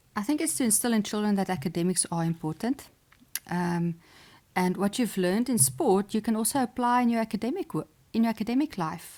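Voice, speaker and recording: Speaking fairly quickly with a South African accent, a woman uses lively intonation and a dark, mellow tone at a medium pitch. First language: Afrikaans. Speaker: sports psychologist and chess champion. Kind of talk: podcast interview. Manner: hesitant, many fillers.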